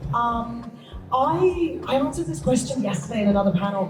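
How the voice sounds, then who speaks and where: Over music in the background and audible room echo, a woman speaks at a fairly high pitch with very wide pitch swings. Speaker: voice actor. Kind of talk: convention panel discussion.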